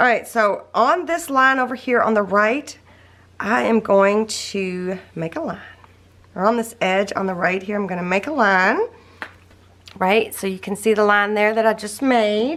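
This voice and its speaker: A woman with a Southern US accent, fairly high pitch and lively intonation. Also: fairly slow pace. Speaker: crafting tutorial creator. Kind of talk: tutorial. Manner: casual, chatty.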